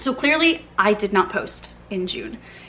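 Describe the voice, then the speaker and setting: A plain, everyday voice at a fairly slow pace. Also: woman. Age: 30s. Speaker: book content creator. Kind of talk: casual vlog chat. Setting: filming at home in living room.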